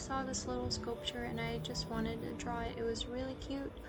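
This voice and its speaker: Soft-spoken and with a calm tone, a woman talks over noticeable background noise. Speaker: student and ASMR drawing creator. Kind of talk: casual soft-spoken talk to camera. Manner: soft-spoken, calm.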